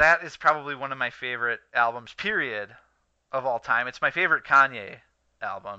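A man with a medium pitch and a plain, everyday voice talks at a fairly quick pace, with ordinary pitch variation and big swings in loudness. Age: 20s. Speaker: podcast co-host. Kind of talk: casual chat.

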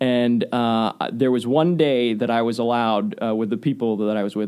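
An unremarkable speaking voice with an American accent carries ordinary pitch variation. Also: man. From Waukesha, Wisconsin. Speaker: TV station presenter. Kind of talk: casual interview chat.

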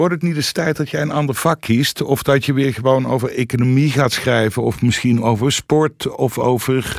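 Speaking at a moderate pace with hardly any pauses, a man with an unremarkable speaking voice keeps a medium pitch and fairly even intonation. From North Brabant. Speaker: former magazine editor-in-chief, co-host. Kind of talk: casual interview. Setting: studio.

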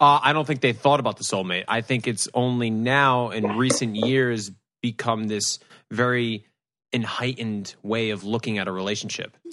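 A man speaks at a moderate pace in a plain, everyday voice, his medium pitch held in fairly even intonation over a quiet background. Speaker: guest co-host. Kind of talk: casual chat.

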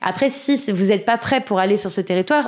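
Talking at a very fast pace, a woman of medium pitch shows ordinary pitch variation. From Paris suburbs, France. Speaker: magazine founder and entrepreneur. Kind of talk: interview.

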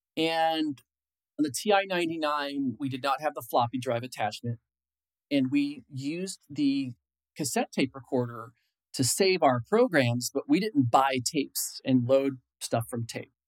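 Speaking with an American accent in a plain, everyday voice, the speaker keeps a fairly slow pace and ordinary pitch variation, with a dry, close sound and no echo. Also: man, fairly high pitch for a man. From Illinois, US Midwest. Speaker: software engineer. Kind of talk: interview.

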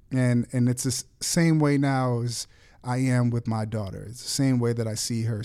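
A man with an American accent speaks at medium pitch in a dark, mellow tone with fairly even intonation. The recording is very clean, with a silent background. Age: 30s. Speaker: podcast co-host, athlete's son. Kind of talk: casual chat. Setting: studio.

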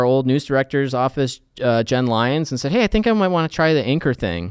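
An ordinary speaking voice moves at a fairly quick pace with lively intonation, recorded very cleanly against a silent background with a dry, close sound and no echo. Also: man. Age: 40s. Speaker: TV news and feature reporter. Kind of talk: casual interview.

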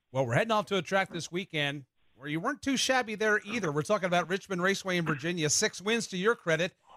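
A man's high, raised, projected voice, bright and sharp in tone, with lively intonation at a very fast pace, dry and close with no echo. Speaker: radio host. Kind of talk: radio talk show. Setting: studio.

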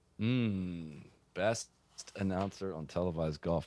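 A man speaks in a very deep, low voice with an American accent. His pace is fairly slow, and his pitch varies in an ordinary way. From US Midwest (Ohio). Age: 30s. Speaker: golf media founder. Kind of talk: interview.

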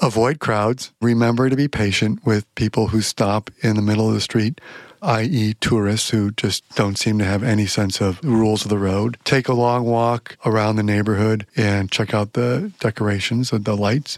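A man with a plain, everyday voice speaks at a moderate pace with hardly any pauses, his fairly low pitch carrying fairly even intonation and very even loudness, on a very clean recording with a silent background and a dry, close sound with no echo. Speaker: podcast host. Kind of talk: casual chat.

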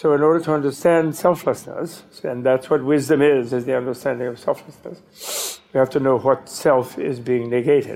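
Here is a normal speaking voice with ordinary pitch variation, moving at a moderate pace. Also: man. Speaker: Buddhist teacher. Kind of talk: dharma talk. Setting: stage with audience.

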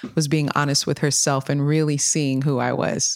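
This woman's voice sits very deep and low, with fairly even intonation and a dry, close sound free of echo. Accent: Californian. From Sacramento, California. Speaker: mental health first aid responder. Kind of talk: casual interview.

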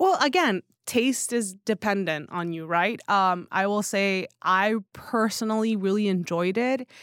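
At a fairly slow pace with hardly any pauses, a woman speaks in a normal speaking voice at a medium pitch with ordinary pitch variation. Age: 30s. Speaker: newsletter founder and writer. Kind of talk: casual chat. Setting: studio.

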